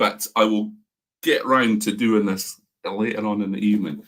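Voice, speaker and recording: A man with a Scottish accent speaks at a fairly slow pace. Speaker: whisky reviewer. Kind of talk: live stream tasting chat. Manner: animated.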